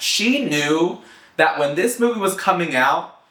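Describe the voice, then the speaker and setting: Noticeable background noise fills the clip. The man's pace is moderate. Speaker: pop culture commentator. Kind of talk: casual vlog commentary. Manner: animated, chatty.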